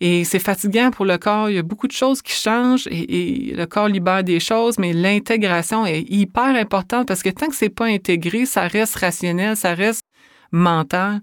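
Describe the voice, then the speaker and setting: A woman in a Quebec accent at medium pitch, with ordinary pitch variation and a moderate pace, on a very clean recording with a silent background. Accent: Québécois French. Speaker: author and speaker. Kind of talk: interview.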